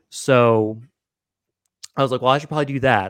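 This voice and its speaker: The recording is very clean, with a silent background and a dry, close sound with no echo, and the voice shows ordinary pitch variation. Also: man. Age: 30s. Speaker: digital marketing entrepreneur. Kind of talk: casual interview chat. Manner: hesitant, many fillers.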